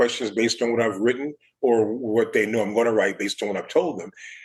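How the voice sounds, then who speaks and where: A man is talking with an American accent. His voice sits at a medium pitch. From Chicago South Side. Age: 60s. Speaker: architecture critic. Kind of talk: interview.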